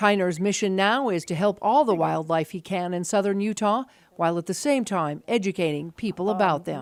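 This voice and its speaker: Using an ordinary speaking voice, a woman of medium pitch speaks at a fairly quick pace with ordinary pitch variation. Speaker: TV news reporter. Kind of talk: TV news report narration.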